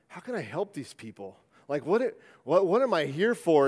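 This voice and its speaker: Against a quiet background, a man speaks. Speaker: preacher. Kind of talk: sermon. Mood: earnest, reflective. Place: church. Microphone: headset.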